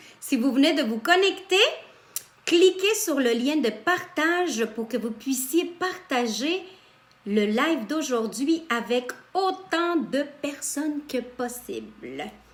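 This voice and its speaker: The voice is loud, with lively intonation. It moves at a very slow pace. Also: woman, high pitch for a woman. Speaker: spiritual coach. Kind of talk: live stream talk. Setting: live video stream. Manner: animated.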